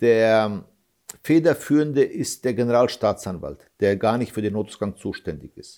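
Lively in intonation, a man's dark, mellow voice shows big swings in loudness. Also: medium pitch for a man, moderate pace. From Germany, Hesse. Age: 40s. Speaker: father of an attack victim, activist. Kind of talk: interview. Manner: halting.

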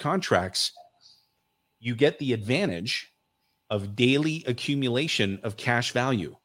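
In a very clean recording with a silent background, a man with an ordinary speaking voice talks at medium pitch with lively intonation. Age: 40s. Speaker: financial coach and author. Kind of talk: interview.

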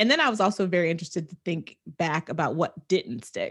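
The recording is very clean, with a silent background. A woman with a fairly low pitch talks at a fairly quick pace with ordinary pitch variation. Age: 40s. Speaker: podcast co-host. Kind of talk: casual chat. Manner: animated.

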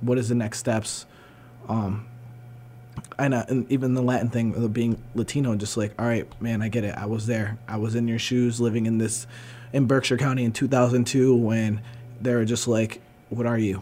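Noticeable background noise sits under a man's medium-pitched voice. His intonation is monotone and flat, his pace moderate. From Berkshires, Massachusetts. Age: 30s. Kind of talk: casual chat. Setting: studio.

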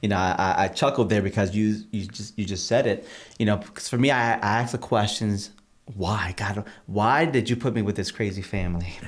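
With an ordinary speaking voice, a man talks at a moderate pace in a fairly low pitch and fairly even intonation. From Massachusetts (Holyoke), born in Puerto Rico. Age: 40s. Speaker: pastor. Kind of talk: interview about personal faith story.

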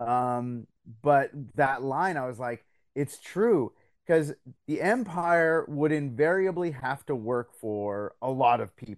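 Over a quiet background, a man with a Canadian accent speaks at a very slow pace, his fairly high pitch full of lively intonation. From Belgium, then Canada from age twelve. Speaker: radio host and comic book writer. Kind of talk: casual chat. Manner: animated.

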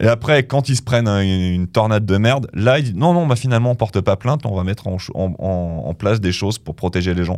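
The speaker races along at a very fast pace with lively intonation and hardly any pauses. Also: man, fairly low pitch for a man, very clean recording, silent background. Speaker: radio rock news columnist. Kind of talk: casual radio chat. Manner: halting, repeating words.

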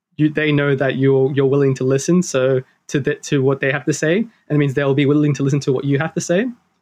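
Over a quiet background, a man speaks with an Australian accent. His pitch is fairly high and his intonation fairly even. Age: 20s. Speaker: engineering student. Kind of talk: interview conversation. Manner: hesitant, many fillers.

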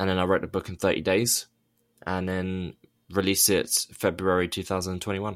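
On a very clean recording with a silent background, a man with a southern English accent speaks at a fairly quick pace, his very deep, low voice flat and monotone. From England, near London. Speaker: author and abuse survivor activist. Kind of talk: interview testimony.

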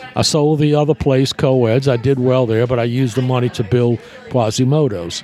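Over music in the background, a man with an American accent speaks at a fairly quick pace in a medium pitch, with fairly even intonation and very even loudness. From US South. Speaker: nightclub owner. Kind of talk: casual chat.

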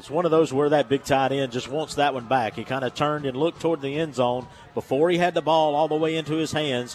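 Racing along at a very fast pace with hardly any pauses, a man with a fairly high pitch speaks over noticeable background noise. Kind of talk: color commentary, analysis of plays in a football broadcast. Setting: stadium broadcast booth. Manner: conversational, explanatory, animated with filler words.

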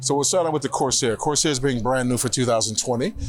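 With music in the background, a man speaks at a medium pitch with ordinary pitch variation. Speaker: car brand product specialist. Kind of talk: guided product tour interview. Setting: auto show floor.

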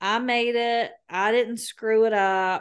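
Against a quiet background, a woman with a Southern US accent speaks at a fairly high pitch. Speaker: podcast co-host. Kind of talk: casual chat.

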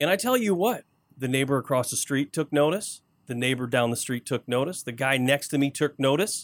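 A man talks in a normal speaking voice at a fairly quick pace, with ordinary pitch variation. The recording is very clean with a silent background, and the sound is dry and close, with no echo. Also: fairly high pitch for a man. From Flint, Michigan, US. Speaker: home improvement radio show co-host. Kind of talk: casual chat.

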